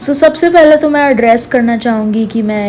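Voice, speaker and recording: Fairly high-pitched woman with ordinary pitch variation over noticeable background noise. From Punjab, India. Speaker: lifestyle vlogger. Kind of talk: scripted vlog voice-over. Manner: Hindi mixed with English words.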